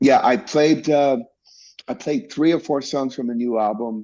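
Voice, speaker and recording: In a Spanish accent, a man with a dark, mellow tone talks at a fairly slow pace against a quiet background. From Mexico, Tijuana. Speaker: bassist. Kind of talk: interview. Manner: animated.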